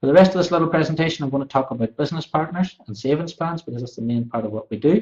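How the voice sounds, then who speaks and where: Talking at a very fast pace, a man sounds somewhat breathy. His pitch variation is ordinary. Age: 30s. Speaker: direct sales presenter. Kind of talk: sales pitch. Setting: live online presentation.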